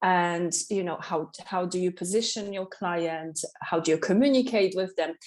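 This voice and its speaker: A woman with a Polish accent speaks at a moderate pace with a medium pitch and ordinary pitch variation. She leaves hardly any pauses. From Poland, Katowice. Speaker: waxing specialist and salon owner. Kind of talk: podcast interview. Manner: energetic.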